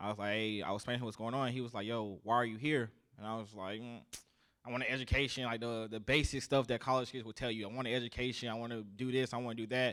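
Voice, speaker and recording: In a Southern US accent, a man rattles along at a very fast pace with monotone, flat intonation. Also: medium pitch for a man, very clean recording, silent background. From US South, South Carolina. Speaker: army sergeant. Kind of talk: casual interview. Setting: live podcast with audience.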